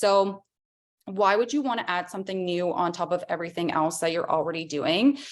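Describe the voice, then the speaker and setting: A woman's voice with ordinary pitch variation. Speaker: direct sales consultant and trainer. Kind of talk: online training presentation.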